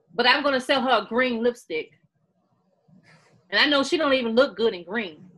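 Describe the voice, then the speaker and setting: Loud and animated, a woman with a high voice speaks at a fairly quick pace with lively intonation, leaving long, frequent pauses. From Missouri, US (Sikeston). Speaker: author and beauty YouTuber. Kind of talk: interview.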